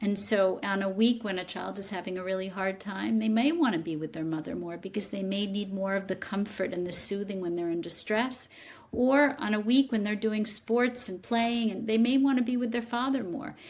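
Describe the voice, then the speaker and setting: The speech moves at a moderate pace in a plain, everyday voice, with hardly any pauses. Pitch varies an ordinary amount. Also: woman, medium pitch for a woman. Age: 60s. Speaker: psychotherapist and author. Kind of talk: interview.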